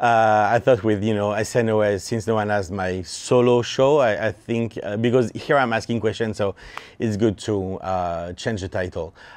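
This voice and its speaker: The speaker has a French accent and fairly even intonation at a moderate pace. Noticeable background noise is present. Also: man, fairly low pitch for a man. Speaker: interviewer, filmmaker. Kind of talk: interview. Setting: production studio. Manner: halting, many fillers.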